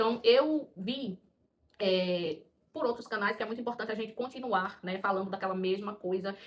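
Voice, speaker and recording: A woman with a strong Paraíba accent speaks at a moderate pace in a fairly high pitch, with ordinary pitch variation. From Paraíba, northeast Brazil. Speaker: schoolteacher and mother of four, video creator. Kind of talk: personal vlog monologue. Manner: hesitant, with many fillers.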